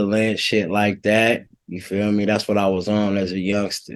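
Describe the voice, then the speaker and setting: A man with an American accent speaks fairly slowly at a fairly low pitch in a monotone, flat intonation. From Bay Area, Contra Costa County (Pittsburg, California). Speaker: rapper. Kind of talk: podcast interview. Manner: casual, hesitant with many fillers.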